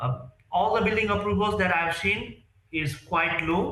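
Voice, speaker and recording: Over noticeable background noise, a man talks fairly slowly with ordinary pitch variation. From Nepal. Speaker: real estate sales executive. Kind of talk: interview. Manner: halting.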